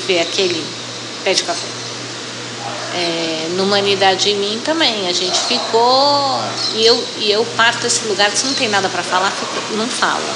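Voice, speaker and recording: Lively intonation from a woman at a fairly slow pace, with audible room echo and noticeable background noise. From Brazil, São Paulo city. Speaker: coffee brand marketing director. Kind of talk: interview. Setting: restaurant.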